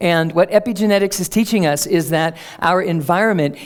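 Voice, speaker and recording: Noticeable background noise sits beneath the voice. The delivery is fairly quick, with ordinary pitch variation. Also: woman. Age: 50s. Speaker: speaker on energy medicine. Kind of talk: public talk. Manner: conversational, with fillers.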